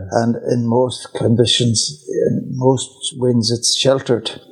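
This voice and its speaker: A man with a West Cork accent, flat and monotone, at a fairly slow pace. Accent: West Cork Irish. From Ireland, West Cork. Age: 80s+. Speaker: retired teacher trainer. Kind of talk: casual chat.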